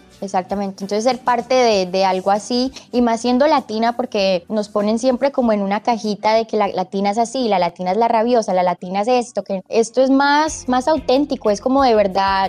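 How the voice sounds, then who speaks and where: A woman talks at a fairly quick pace and fairly high pitch, with hardly any pauses. Her loudness is very even, and there is noticeable background noise. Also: ordinary pitch variation. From US, born in Medellín, Colombia. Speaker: actress. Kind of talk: interview.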